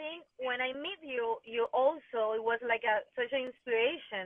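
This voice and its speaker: Speaking in a Venezuelan accent, a woman uses a high pitch with ordinary pitch variation. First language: Spanish. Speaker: fitness and dance studio owner. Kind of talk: interview chat. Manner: halting.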